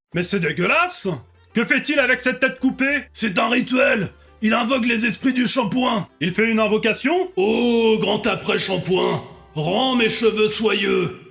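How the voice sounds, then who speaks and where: Faint music plays behind a man using a put-on character voice at a high pitch and a moderate pace. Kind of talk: comedic reaction commentary. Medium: role play. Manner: exaggerated, theatrical.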